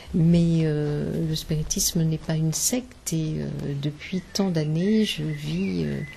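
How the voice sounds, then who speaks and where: A woman talks at a very slow pace, and background noise is noticeable. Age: 60s. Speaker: spiritist medium. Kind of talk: interview. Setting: symposium. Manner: hesitant, many fillers.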